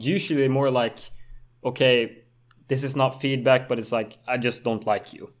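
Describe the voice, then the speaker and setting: A man speaks in a Swedish accent at a fairly slow pace, his medium pitch varying in an ordinary way, on a very clean recording with a silent background. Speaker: moped stunt rider and YouTuber. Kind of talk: casual chat.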